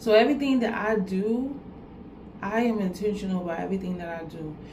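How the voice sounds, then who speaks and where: A woman's voice at medium pitch, with audible room echo. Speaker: vlogger giving life advice. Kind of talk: motivational talk to camera. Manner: repetitive, earnest.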